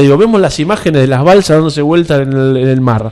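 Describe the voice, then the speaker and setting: Very fast speech comes from a man with a Rioplatense accent. His pitch is fairly high. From Argentina. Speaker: church figure. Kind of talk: interview. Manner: animated.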